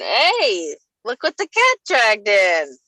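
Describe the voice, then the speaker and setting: A woman puts on a gruff character voice at a high pitch, speaking at a fairly slow pace. The sound is dry and close, without echo. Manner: gruff, greeting.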